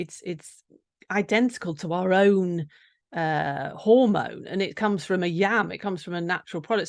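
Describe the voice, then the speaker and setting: A woman with an English accent speaks at medium pitch and a moderate pace. Her pitch varies in an ordinary way over a quiet background. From England. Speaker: nutritional therapist. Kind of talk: interview. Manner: halting.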